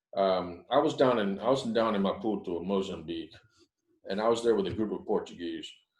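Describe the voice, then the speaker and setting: Audible room echo surrounds a man with an American accent who speaks at a fairly quick pace in a fairly low pitch with ordinary pitch variation. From United States. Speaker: business speaker on negotiating in China. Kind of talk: guest lecture to a class. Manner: fast; conversational, many fillers.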